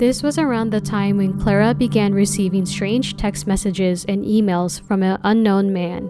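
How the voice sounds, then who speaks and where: A woman with an American accent speaks at a moderate pace and medium pitch, with hardly any pauses. Her intonation is fairly even, and music plays in the background. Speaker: true crime YouTuber. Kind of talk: scripted narration.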